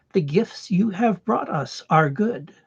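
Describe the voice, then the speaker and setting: A put-on character voice at a middle pitch. The pace is fairly slow. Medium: read story. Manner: solemn, measured, speaks as a collective we.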